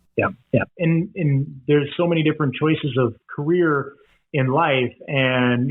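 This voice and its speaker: Here is a man with an unremarkable speaking voice, pitched fairly high. He keeps a moderate pace with ordinary pitch variation. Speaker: professional charity auctioneer and fundraiser. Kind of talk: podcast interview answer.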